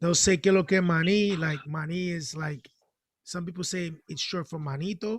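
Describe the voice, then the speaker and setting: A man speaks with a Spanish accent. His voice is high-pitched for a man, with fairly even intonation. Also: moderate pace. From Dominican Republic heritage, raised in US. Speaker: financial literacy organization member. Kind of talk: casual chat. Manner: halting.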